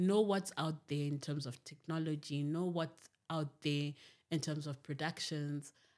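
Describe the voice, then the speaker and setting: At a fairly slow pace, a woman speaks with a very deep, low pitch. Her intonation is fairly even against a quiet background. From Zimbabwe. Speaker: television producer; podcast guest. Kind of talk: podcast interview. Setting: studio. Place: studio. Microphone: studio mic.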